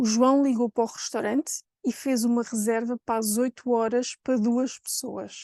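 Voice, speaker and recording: Dry and close with no echo, a woman's high-pitched voice has a dark, mellow tone and monotone, flat intonation, moving at a moderate pace with hardly any pauses. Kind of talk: normal intonation.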